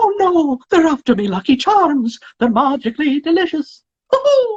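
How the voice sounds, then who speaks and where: A man's put-on character voice at an extremely high pitch and moderate pace. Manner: excited, cheerful.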